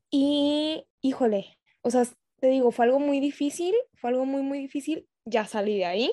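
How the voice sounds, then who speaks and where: A woman speaks with a high pitch and ordinary pitch variation. Her tone is dark and mellow, and the sound is dry and close with no echo. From Tijuana, Mexico. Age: 20s. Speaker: medical student and skincare entrepreneur. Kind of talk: casual chat.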